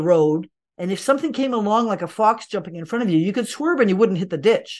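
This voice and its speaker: Over a quiet background, a woman speaks at medium pitch with lively intonation. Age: 60s. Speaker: integrative medicine doctor and teacher. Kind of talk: interview. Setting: remote call.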